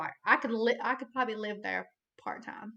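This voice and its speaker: A woman talks with a Southern accent. Her tone is bright and sharp, at a fairly high pitch. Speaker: hunter. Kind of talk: casual chat. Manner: animated; halting.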